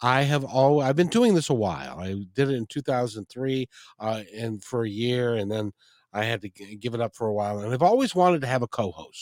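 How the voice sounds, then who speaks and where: This man talks at a fairly quick pace with medium pitch and ordinary pitch variation. The sound is dry and close with no echo. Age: 60s. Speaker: radio host. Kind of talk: interview. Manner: halting.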